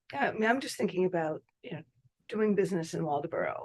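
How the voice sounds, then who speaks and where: A woman speaks at a medium pitch with ordinary pitch variation, in an ordinary speaking voice. The sound is dry and close, with no echo. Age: 60s. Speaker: committee member. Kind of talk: committee meeting discussion.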